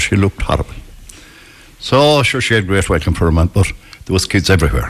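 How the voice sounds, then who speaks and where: In a rural Irish accent, a man speaks at a very deep, low pitch and a fairly quick pace. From west of Ireland. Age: 70s. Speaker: retired psychiatric nurse. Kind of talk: storytelling in a casual interview. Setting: live outside broadcast with local audience.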